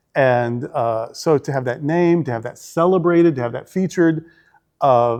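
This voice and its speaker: A man with a fairly high pitch talks at a moderate pace with ordinary pitch variation against a quiet background. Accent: Southern US. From Arkansas, US South. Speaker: senior minister. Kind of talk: interview.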